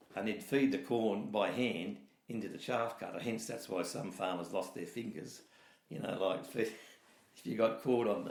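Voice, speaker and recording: At a moderate pace, a man with a rural Australian accent speaks at a medium pitch with ordinary pitch variation, and audible room echo surrounds him. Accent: broad rural Australian. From New South Wales south coast, Australia. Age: 60s. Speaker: dairy farmer. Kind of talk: oral history interview. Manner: conversational, hesitant with fillers.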